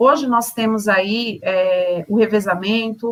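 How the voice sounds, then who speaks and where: A woman speaks in a plain, everyday voice with a fairly high pitch. Her pitch variation is ordinary. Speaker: education trainer. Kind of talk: online teacher training presentation.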